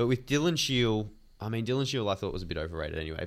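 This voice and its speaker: Here is a man with an Australian accent and a fairly low pitch. His pitch varies in an ordinary way in a very clean recording with a silent background. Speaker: podcast co-host, footy fan. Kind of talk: casual banter.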